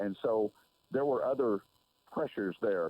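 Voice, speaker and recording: A normal speaking voice from a man with an American accent, medium pitch, ordinary pitch variation and a moderate pace. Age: 60s. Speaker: sports broadcaster. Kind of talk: casual interview. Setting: phone call.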